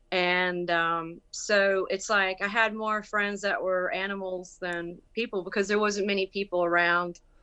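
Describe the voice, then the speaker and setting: A woman with a Southern US accent speaks at a fairly slow pace in a bright, sharp tone, her intonation monotone and flat. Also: medium pitch for a woman. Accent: Southern country accent, come back. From US South, rural Bladen County, North Carolina. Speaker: musician and actress. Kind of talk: interview. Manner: halting, many fillers.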